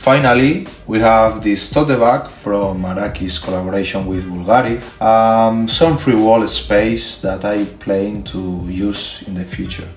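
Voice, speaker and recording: With a Spanish accent and ordinary pitch variation, a man speaks at a fairly slow pace with hardly any pauses, his voice carrying audible room echo as music plays in the background. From Spain. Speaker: collector and YouTuber. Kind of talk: video tour. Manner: halting, with filler sounds.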